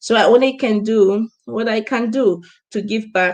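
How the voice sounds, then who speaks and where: This woman's fairly high voice keeps a fairly even intonation. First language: not English. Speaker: business coach. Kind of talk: live stream talk. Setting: live stream.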